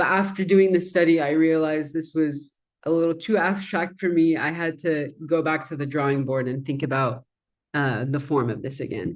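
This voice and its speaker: In a quiet background, a woman with an Arabic accent speaks at a moderate pace in a very deep, low pitch with ordinary pitch variation. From Persian Gulf. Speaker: designer and researcher. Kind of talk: presentation.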